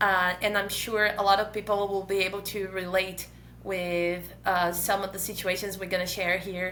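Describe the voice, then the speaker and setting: In a Portuguese accent, a woman speaks at a moderate pace with a bright, sharp tone and monotone, flat intonation. Audible room echo surrounds her voice. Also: medium pitch for a woman. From Brazil. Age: 30s. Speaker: podcast co-host, mother and doctoral student. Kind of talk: casual chat.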